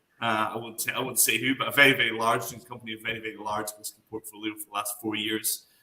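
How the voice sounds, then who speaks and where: A man with a Scottish accent at a very fast pace. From Scotland. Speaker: whisky brand ambassador. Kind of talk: online class.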